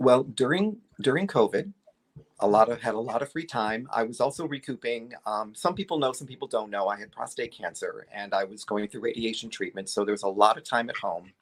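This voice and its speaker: A man with a normal speaking voice talks fairly quickly at medium pitch, with lively intonation and big swings in loudness. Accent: American. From upstate New York. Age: 60s. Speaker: guest, vintage collector. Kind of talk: casual chat. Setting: livestream.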